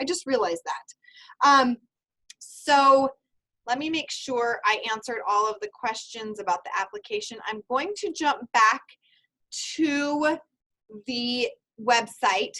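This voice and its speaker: Loud and high-pitched, a woman with a bright, sharp tone and lively intonation talks at a very slow pace with long, frequent pauses. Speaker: university program advisor. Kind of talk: online information seminar.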